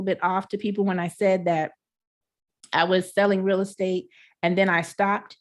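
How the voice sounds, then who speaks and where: Over a quiet background, a woman with a Texan accent speaks at a fairly quick pace in an animated tone at a medium pitch. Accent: Texan country. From Texas, Houston. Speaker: entrepreneur, online marketer. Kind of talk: webinar presentation. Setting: live online broadcast from home.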